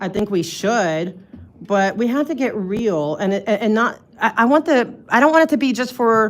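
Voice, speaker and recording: A woman with an East Coast US accent at a moderate pace. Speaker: public commenter at city meeting. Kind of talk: public comment. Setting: city council meeting. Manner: loud; halting.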